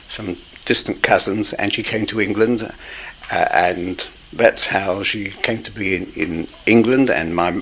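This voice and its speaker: Over noticeable background noise, a man with a London accent speaks at a fairly slow pace and fairly low pitch. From East End of London. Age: 70s. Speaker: interviewee recalling radical history. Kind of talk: oral history interview. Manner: halting.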